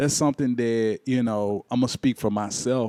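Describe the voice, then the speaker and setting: A man's dark, mellow voice at medium pitch in a Memphis accent, fairly quick in pace with ordinary pitch variation, the sound dry and close with no echo over a quiet background. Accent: Southern US, Memphis. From US South, Memphis. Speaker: talk show host. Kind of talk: interview.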